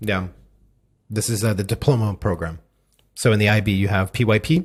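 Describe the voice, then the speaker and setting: His voice is somewhat breathy and moves at a fairly quick pace. The man talks with an American accent. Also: fairly low pitch for a man, ordinary pitch variation. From United States. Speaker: podcast host. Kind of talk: casual interview chat.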